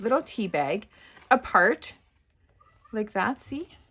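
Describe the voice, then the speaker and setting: Moderate pace with ordinary pitch variation. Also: woman. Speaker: craft youtuber. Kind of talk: tutorial.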